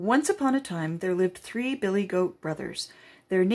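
Lively intonation carries this natural reading voice along.

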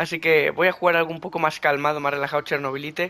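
A man speaks fast at a fairly high pitch. His tone is bright and sharp, with little pitch movement.

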